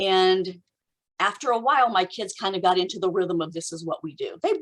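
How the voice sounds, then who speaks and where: A woman at medium pitch speaks fairly quickly in an animated tone. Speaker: homeschool consultant and author. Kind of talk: podcast interview. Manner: fast.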